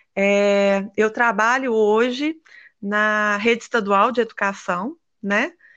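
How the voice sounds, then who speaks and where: Against a quiet background, a woman with a normal speaking voice talks in a fairly high pitch with ordinary pitch variation. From Brazil, Minas Gerais. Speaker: physical education teacher and equine therapist. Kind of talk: interview.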